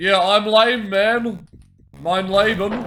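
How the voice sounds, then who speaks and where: Over background music, a man with a high pitch speaks very slowly, using ordinary pitch variation. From New Zealand. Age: 30s. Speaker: gaming streamer. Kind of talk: live gameplay commentary and chat. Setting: live stream.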